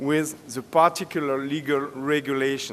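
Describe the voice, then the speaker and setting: A man with a French accent talks at a fairly slow pace. His pitch is fairly high. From France. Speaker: safety expert speaker. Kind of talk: conference presentation. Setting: stage with audience. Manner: halting.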